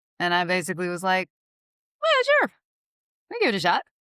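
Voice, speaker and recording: A woman with a Southern US accent has a fairly low pitch and a bright, sharp tone. The sound is dry and close, with no echo. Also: very clean recording, silent background. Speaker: real estate agent. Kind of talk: podcast interview. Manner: casual, conversational.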